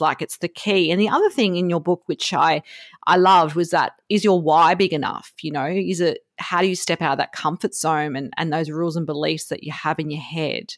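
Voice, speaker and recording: Everything sounds dry and close, with no echo. The speaking pace stays moderate. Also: woman. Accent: Australian. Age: 40s. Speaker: podcast host. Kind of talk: interview.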